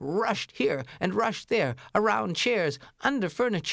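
This is read aloud in a natural voice. The intonation stays lively throughout.

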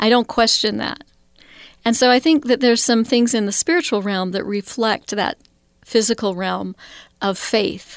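In an ordinary speaking voice with an American accent, a woman talks at a moderate pace and a fairly high pitch with ordinary pitch variation, the sound dry and close with no echo. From Idaho, US. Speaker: college spiritual life director. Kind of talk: interview.

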